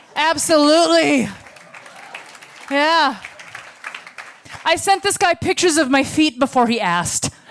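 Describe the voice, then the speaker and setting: With an American accent, a woman speaks at a fairly slow pace in a high pitch, her intonation lively and her loudness very even, leaving long, frequent pauses against crowd noise in the background. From United States. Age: 40s. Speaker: stand-up comedian. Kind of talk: stand-up. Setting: stage with audience.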